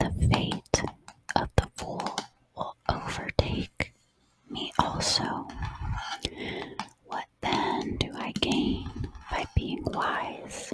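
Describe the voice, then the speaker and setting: A woman whispering at a very slow pace. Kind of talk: Bible study talk, ASMR style. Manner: whispered, soft, slow.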